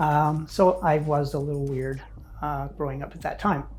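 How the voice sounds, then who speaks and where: A woman with a Canadian accent speaks with a very deep, low pitch and a dark, mellow, somewhat breathy tone, with audible room echo. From Ontario, Canada. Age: 60s. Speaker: interviewee sharing life story. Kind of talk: personal testimony.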